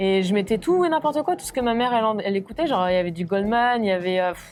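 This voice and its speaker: A woman speaks at a very fast pace, her pitch swinging very widely. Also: fairly high pitch for a woman. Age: 30s. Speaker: professional drummer. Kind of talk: interview. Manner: hesitant, many fillers.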